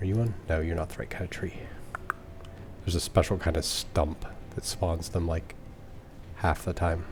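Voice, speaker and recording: Soft-spoken, a man with a very deep, low pitch talks at a moderate pace with fairly even intonation and long, frequent pauses. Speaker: gaming let's play streamer. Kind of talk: casual gameplay commentary. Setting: home recording at night. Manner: soft-spoken, talking quietly.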